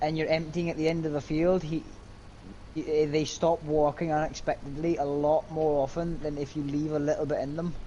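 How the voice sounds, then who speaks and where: A man with a Scottish accent, fairly high in pitch, at a moderate pace with monotone, flat intonation. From Scotland. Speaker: gaming live streamer. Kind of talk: casual chat. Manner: loud.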